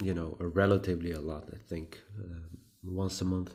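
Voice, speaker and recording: With a Hungarian accent, a man speaks at a moderate pace and with fairly even intonation. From Hungary. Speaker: pipe tobacco vlogger. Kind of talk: casual vlog talk. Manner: halting.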